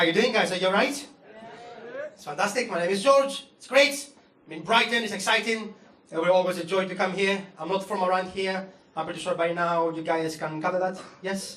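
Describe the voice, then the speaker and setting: A man with a Greek accent speaks at a fairly quick pace and a high pitch, with ordinary pitch variation and big swings in loudness. Audible room echo and noticeable background noise surround him. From Greece. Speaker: comedian. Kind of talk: stand-up. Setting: stage with audience.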